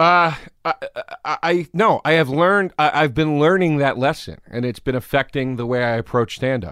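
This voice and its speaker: A man with an American accent speaks in a plain, everyday voice, fairly high in pitch with ordinary pitch variation. His pace is moderate, and the sound is dry and close with no echo. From Pennsylvania, Philadelphia suburbs. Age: 30s. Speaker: comedian. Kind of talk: casual chat.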